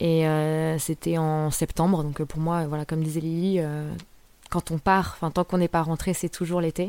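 On a very clean recording with a silent background, a woman with a fairly low pitch and a dark, mellow tone speaks at a fairly slow pace in monotone, flat intonation. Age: 20s. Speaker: internet worker. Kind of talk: personal anecdotes monologue. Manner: casual, hesitant with fillers.

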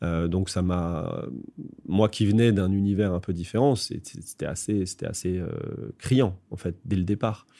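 In a dark, mellow tone, a man with a very deep, low pitch speaks at a very slow pace with fairly even intonation on a very clean recording with a silent background. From Paris suburbs, France. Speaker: advertising creative director. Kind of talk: interview. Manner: hesitant, many fillers.

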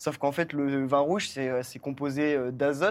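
In a very clean recording with a silent background, a man speaks in a normal speaking voice at a fairly high pitch. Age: 20s. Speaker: permaculturist. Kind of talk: casual chat.

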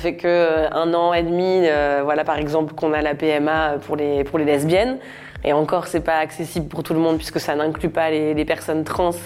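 A moderate pace and fairly even intonation over noticeable background noise. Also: woman, very deep, low pitch for a woman. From France, Normandy. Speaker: comedian. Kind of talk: personal testimony interview. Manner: casual, laughing often.

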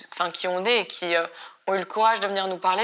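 A woman with a medium pitch, a bright, sharp tone, fairly even intonation, and a fairly quick pace. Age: 20s. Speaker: activist in anti-cybersexism collective. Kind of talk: interview. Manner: halting.

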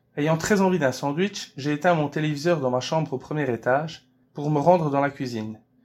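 Here is a man with an unremarkable speaking voice, fairly high in pitch and with ordinary pitch variation. He speaks at a moderate pace on a very clean recording with a silent background. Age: 30s. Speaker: actor, director and author. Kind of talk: interview answers, seemingly read.

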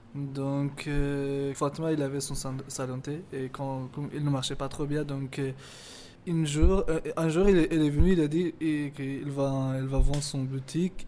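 A man with an Afghan accent talks at a very slow pace. His fairly high pitch comes with monotone, flat intonation. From Afghanistan (Hazara), schooled in Pakistan. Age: 20s. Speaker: cook and refugee. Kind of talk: interview testimony. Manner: halting.

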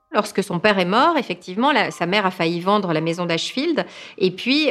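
Music plays in the background as a woman of medium pitch speaks. Her tone is animated and her pace fairly quick. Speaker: writer interviewed as expert. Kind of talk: documentary interview commentary. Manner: animated, fluent, conversational with some hesitations.

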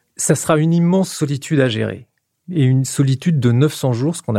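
A man's dark, mellow, somewhat breathy voice at a fairly quick pace, with ordinary pitch variation, on a very clean recording with a silent background. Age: 50s. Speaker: science journalist. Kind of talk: explanatory interview.

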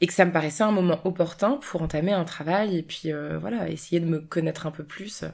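In a very clean recording with a silent background, a woman talks in an ordinary speaking voice at a medium pitch with ordinary pitch variation. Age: 20s. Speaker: abuse survivor sharing her story. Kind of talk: personal testimony.

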